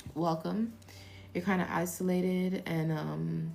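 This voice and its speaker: A soft-spoken woman's very deep, low voice with fairly even intonation and audible room echo. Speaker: tarot reader. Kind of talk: live stream tarot reading. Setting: live stream. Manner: casual.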